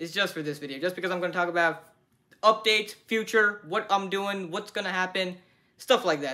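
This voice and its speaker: A raised, projected voice at a very fast pace over a quiet background. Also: man. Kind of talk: casual vlog chat. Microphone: phone near.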